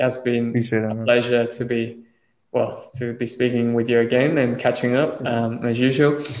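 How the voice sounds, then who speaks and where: A man speaks at a moderate pace with monotone, flat intonation. Audible room echo surrounds his voice. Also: medium pitch for a man. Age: 20s. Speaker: podcast host. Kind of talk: casual chat.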